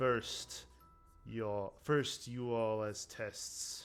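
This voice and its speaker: Over faint background music, a booming put-on character voice speaks at a very slow pace. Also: man, medium pitch for a man. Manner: declaiming.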